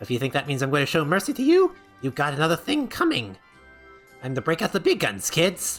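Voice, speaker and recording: A man uses a put-on character voice that sounds strained, fairly high in pitch, at a very fast pace. Faint music plays in the background. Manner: aggressive, boastful.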